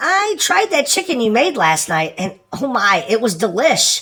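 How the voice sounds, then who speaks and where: A put-on character voice with very wide pitch swings at a moderate pace. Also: man, extremely high pitch for a man. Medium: fan dub. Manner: warm, affectionate.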